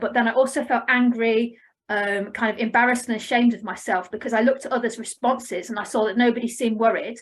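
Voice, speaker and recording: A woman rattles along at a very fast pace with hardly any pauses, her fairly high voice keeping fairly even intonation. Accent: English. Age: 40s. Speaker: family therapist. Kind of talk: conference presentation. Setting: online conference. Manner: scripted reading.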